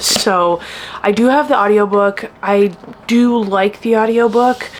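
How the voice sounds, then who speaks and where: At a fairly slow pace, the voice holds a very even loudness over noticeable background noise. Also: woman, fairly high pitch for a woman. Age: 30s. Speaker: book vlogger. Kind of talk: casual vlog review. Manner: animated, filler-heavy.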